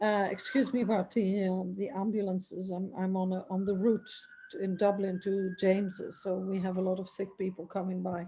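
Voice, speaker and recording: A somewhat breathy woman's voice, dark and mellow in tone, at medium pitch and moderate pace, with monotone, flat intonation. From Netherlands and south of France. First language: French and Dutch. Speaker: opera singer and author. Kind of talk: interview.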